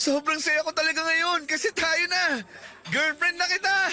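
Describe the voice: A man's put-on character voice, extremely high in pitch, with a bright, sharp tone. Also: fairly even intonation, moderate pace.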